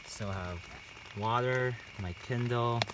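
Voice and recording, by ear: Over faint background noise, a man with a medium pitch speaks slowly in a fairly bright tone with ordinary pitch variation.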